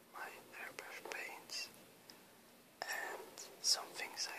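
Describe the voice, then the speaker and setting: A man whispering at a very slow pace, with long, frequent pauses, big swings in loudness and noticeable background noise. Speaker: airbrush hobbyist. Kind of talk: ASMR show-and-tell. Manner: whispered.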